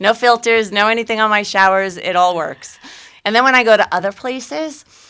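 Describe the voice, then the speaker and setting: With a Staten Island accent, a woman talks at a fairly quick pace in a fairly high, bright, sharp voice with ordinary pitch variation. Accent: Staten Island New York. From Staten Island, New York City. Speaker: real estate agent and podcast co-host. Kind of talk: casual chat. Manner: fast.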